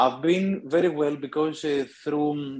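A man speaks with a Greek accent. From Greece. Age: 50s. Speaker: author. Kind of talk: interview.

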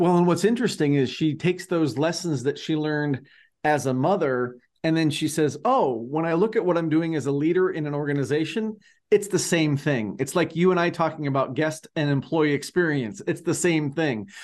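A man with an unremarkable speaking voice talks at a fairly quick pace in a fairly high pitch, with ordinary pitch variation. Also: quiet background. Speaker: podcast co-host. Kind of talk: interview. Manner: upbeat.

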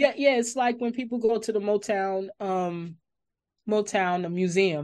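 An unremarkable speaking voice with an American accent speaks at a fairly slow pace. The intonation is lively. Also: woman, quiet background. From New York City, the Bronx. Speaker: music podcast host. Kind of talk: interview.

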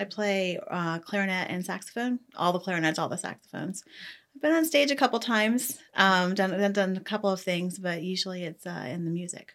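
In a normal speaking voice with an American accent, a woman talks at a fairly quick pace with medium pitch and ordinary pitch variation on a very clean recording with a silent background. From Ohio. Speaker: judge. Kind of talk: interview.

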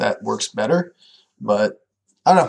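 A man's voice with lively intonation at a fairly quick pace. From Canada. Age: 20s. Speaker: podcast co-host, programmer. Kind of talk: casual chat.

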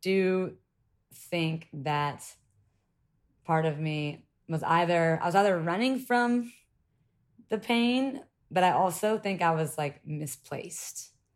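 A woman's fairly low voice in a Southern US accent, very slow, with ordinary pitch variation. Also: long, frequent pauses. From US South, Columbia, South Carolina. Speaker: yacht crew member and reality TV personality. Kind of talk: casual chat. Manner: animated.

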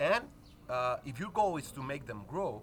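Speaking with a Spanish accent, a man keeps a moderate pace. His fairly high pitch swings very widely. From Spain. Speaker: basketball coach. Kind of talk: casual interview chat. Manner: halting, searching for words.

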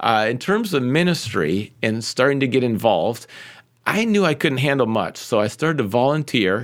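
With a plain, everyday voice, a man speaks at medium pitch and a moderate pace with lively intonation, on a very clean recording with a silent background. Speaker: pastor and former pro soccer player. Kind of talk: casual interview conversation.

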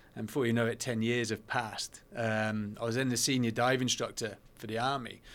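Hardly pausing at all, a man with a British accent speaks at a fairly quick pace in a flat monotone. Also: medium pitch for a man. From England. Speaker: veteran and adventurer. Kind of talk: casual interview.

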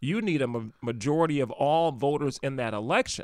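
With an American accent and an ordinary speaking voice, a man talks at a fairly quick pace and fairly high pitch, his pitch varying an ordinary amount. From Milwaukee County, Wisconsin. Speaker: administrative judge and attorney. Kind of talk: history talk in a casual interview.

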